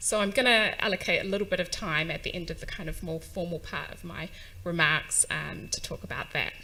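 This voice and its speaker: Speaking at a fairly quick pace, a woman with a New Zealand accent is heard with audible room echo. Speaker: UN agency staff, conference speaker. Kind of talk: conference speech. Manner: hesitant fillers, um and uh.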